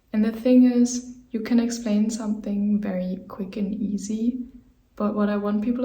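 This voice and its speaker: Noticeable background noise and audible room echo fill the recording. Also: woman. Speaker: movement teacher. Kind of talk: tutorial. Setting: home office. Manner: slow.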